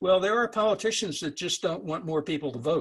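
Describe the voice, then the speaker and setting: A man with an American accent and vocal fry. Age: 70s. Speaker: author and speaker. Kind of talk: webinar talk with Q&A.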